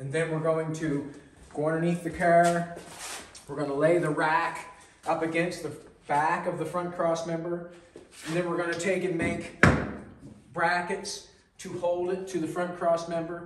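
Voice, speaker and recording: The speaker moves at a moderate pace, leaving long, frequent pauses. Loud background noise runs underneath. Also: man. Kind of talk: casual shop vlog narration. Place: workshop. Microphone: camera far.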